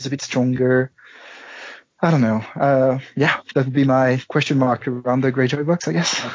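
A man with an unremarkable speaking voice talks at a moderate pace and medium pitch, his intonation fairly even. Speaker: guest card game player. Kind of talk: casual chat about a card game.

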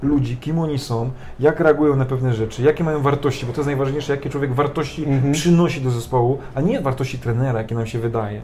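Amid noticeable background noise, a man talks at a very fast pace in a fairly high voice with fairly even intonation. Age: 30s. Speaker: volleyball coach. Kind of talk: casual interview. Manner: halting.

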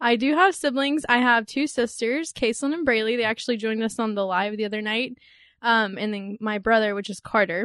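Against a quiet background, a woman with an American accent speaks at a moderate pace in an ordinary speaking voice, fairly high in pitch with ordinary pitch variation. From Texas, Dallas area. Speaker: human resources coordinator, podcast co-host. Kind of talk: casual chat.

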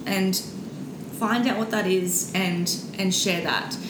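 A woman with an Australian accent, audible room echo and noticeable background noise. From Brisbane, Australia. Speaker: social media influencer. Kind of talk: interview.

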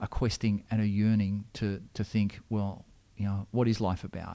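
Monotone, flat delivery in an Australian accent, on a very clean recording with a silent background. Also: man. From Australia, Sydney. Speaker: Anglican minister. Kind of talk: interview. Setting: church. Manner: halting.

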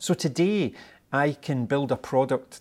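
Pitched at a medium level, a man speaks at a fairly slow pace with ordinary pitch variation. The recording is very clean with a silent background. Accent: Scottish. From Scotland. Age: 50s. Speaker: tech company executive. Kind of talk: interview.

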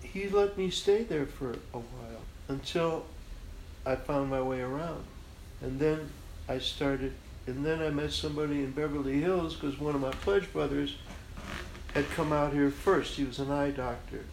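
At a moderate pace with long, frequent pauses, a man with a fairly high pitch speaks amid audible room echo. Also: ordinary pitch variation. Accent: American. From Chicago, US Midwest. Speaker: graphic artist. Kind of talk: interview conversation.

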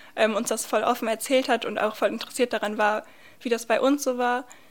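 The woman talks at a fairly quick pace. Her intonation is monotone and flat. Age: 20s. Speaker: student and youth centre volunteer. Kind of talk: interview.

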